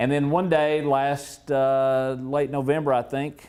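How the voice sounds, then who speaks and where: With an American accent, a man talks at a fairly slow pace. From US South, East Tennessee. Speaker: political media consultant. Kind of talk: speech. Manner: halting.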